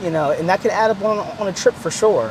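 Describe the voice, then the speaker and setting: At a very fast pace, a man talks with ordinary pitch variation against noticeable background noise. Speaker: car YouTuber. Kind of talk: casual vlog review. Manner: halting, repetitive; casual, slangy.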